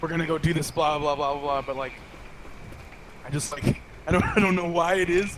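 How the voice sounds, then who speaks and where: Over noticeable background noise, a man with a fairly high pitch talks at a fairly quick pace but leaves long, frequent pauses. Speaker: gamer, team caller. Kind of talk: casual chat. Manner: loud; excitable, fast.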